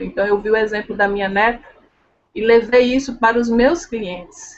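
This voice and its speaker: Speaking in a strong northeastern Brazilian accent, a woman talks at a moderate pace in a fairly high voice with ordinary pitch variation. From Brazil, Pernambuco (Northeast). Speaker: leadership and sales trainer. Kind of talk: interview chat.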